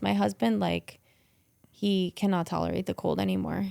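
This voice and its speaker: This woman speaks with a New Jersey accent. The recording is very clean, with a silent background. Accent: New Jersey accent, noticeable. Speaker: real estate agent. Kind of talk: casual chat. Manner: animated.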